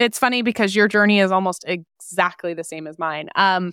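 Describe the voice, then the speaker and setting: On a very clean recording with a silent background and a dry, close sound with no echo, a woman with an ordinary speaking voice talks at a fairly quick pace, her medium pitch carrying fairly even intonation. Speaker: personal finance entrepreneur and author. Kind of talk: interview.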